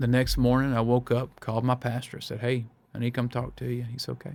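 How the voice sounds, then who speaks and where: A man with a Mississippi accent, medium in pitch, at a very fast pace. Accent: Southern US (Mississippi). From US South, Brookhaven, Mississippi. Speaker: pastor. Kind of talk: testimony. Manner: animated, repeats words.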